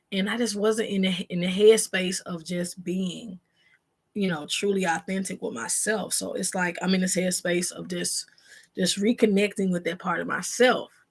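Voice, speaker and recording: Her voice is somewhat breathy, at a medium pitch, from a woman. She keeps fairly even intonation and a moderate pace. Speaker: vlogger, single mom. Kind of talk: casual vlog chat to camera. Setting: bedroom at home, live video.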